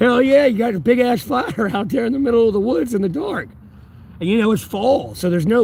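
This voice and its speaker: Over noticeable background noise, a man talks at a very fast pace in a high pitch with very wide pitch swings. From North Carolina, USA. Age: 30s. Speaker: homeless livestreamer. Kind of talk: casual livestream talk to chat.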